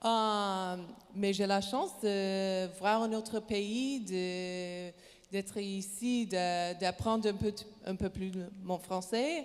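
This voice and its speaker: Speaking very slowly, a woman has an English accent. Her pitch is medium and her intonation fairly even. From Canada, British Columbia. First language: English (speaking French). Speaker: professional basketball player. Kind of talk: panel discussion. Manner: halting, many hesitations.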